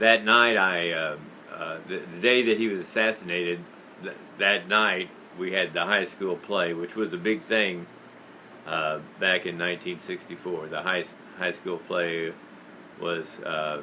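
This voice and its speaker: Over noticeable background noise, a man with a very deep, low pitch talks at a fairly slow pace with fairly even intonation and long, frequent pauses. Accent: American. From United States. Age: 70s. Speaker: video blogger on history and faith. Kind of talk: personal monologue. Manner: halting, many fillers.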